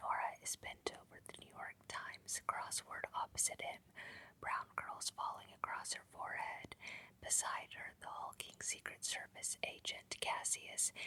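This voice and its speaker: A whisper at a fairly slow pace. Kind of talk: whispered ASMR book reading. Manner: whispered, soft-spoken.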